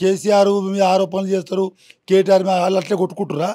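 A man's high-pitched voice with a dark, mellow tone over a quiet background. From Telangana. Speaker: politician. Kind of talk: interview. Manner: animated. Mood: agitated, accusatory. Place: home room. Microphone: handheld.

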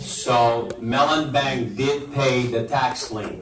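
Over light background noise and audible room echo, a man speaks with ordinary pitch variation. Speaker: elected official's staffer. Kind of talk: public meeting. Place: hall.

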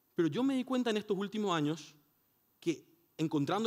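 The setting is quiet. A man's speech has lively intonation and a moderate pace. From Paraguay. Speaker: conference speaker. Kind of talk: conference talk. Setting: stage with audience. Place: hall. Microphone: headset.

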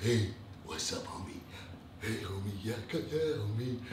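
A soft-spoken man puts on a character voice at medium pitch and a fairly slow pace, with slight echo and loud background noise. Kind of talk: casual slang. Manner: fake, ingratiating.

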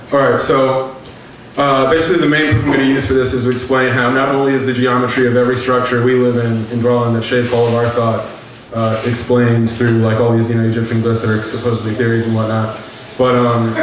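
Over light background noise and with audible room echo, a man speaks very fast in a monotone, flat intonation at very even loudness. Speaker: lecture presenter. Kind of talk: lecture. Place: hall. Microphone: pa.

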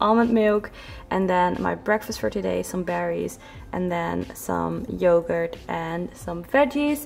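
Over faint background music, a woman talks at a fairly slow pace. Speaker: fitness vlogger. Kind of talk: casual vlog chat. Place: kitchen.

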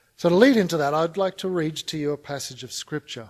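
A man talks with fairly even intonation, and the background is quiet. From Australia. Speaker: conference speaker on mission. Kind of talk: conference talk. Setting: stage with audience. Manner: humorous. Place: hall. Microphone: podium.

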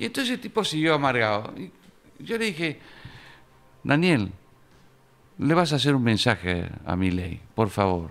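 A man with an Argentine accent, fairly slow, with long, frequent pauses and very wide pitch swings. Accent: Argentine Spanish (Rioplatense). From Argentina. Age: 70s. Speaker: political writer and historian; podcast guest. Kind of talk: interview. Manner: animated. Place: studio. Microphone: studio mic.

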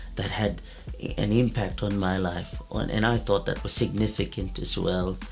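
A man talks at a fairly slow pace while faint music sounds in the background. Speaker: pastor. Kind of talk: sermon-style teaching to camera. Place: studio.

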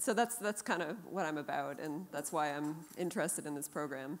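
An ordinary speaking voice moves at a fairly quick pace with ordinary pitch variation. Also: woman. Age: 40s. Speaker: jazz guitarist. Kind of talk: panel discussion. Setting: stage with audience. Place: stage. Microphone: handheld.

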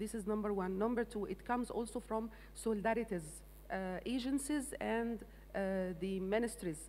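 A fairly high-pitched woman with an Arabic accent, ordinary pitch variation and a moderate pace, over light background noise. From Egypt. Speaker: agricultural development manager; panelist. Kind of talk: panel discussion; panel discussion answer. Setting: stage with audience. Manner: halting. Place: stage. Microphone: handheld.

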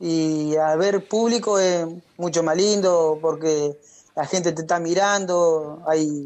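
A man's voice with a high pitch. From Argentina, Entre Ríos (Gualeguaychú). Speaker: racing driver. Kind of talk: radio interview. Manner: halting.

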